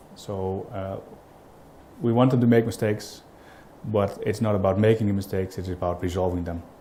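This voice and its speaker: A dark, mellow, somewhat breathy voice speaks at a fairly quick pace with a Dutch accent. The intonation stays fairly even, broken by long, frequent pauses. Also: man, fairly low pitch for a man. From Netherlands. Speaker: business owner, client. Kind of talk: customer testimonial interview. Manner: halting, many fillers.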